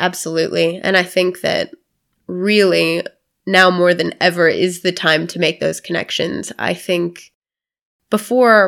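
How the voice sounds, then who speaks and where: A woman with an American accent speaks at a fairly slow pace, her fairly low pitch showing vocal fry. Her pitch varies by an ordinary amount. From US South (Florida). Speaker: not-for-profit founder. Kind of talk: interview.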